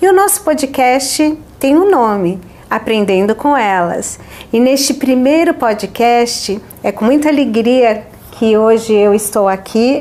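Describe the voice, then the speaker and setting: A woman speaks very slowly in a high pitch, with lively intonation and very even loudness. Noticeable background noise runs underneath. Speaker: podcast host. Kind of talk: podcast introduction.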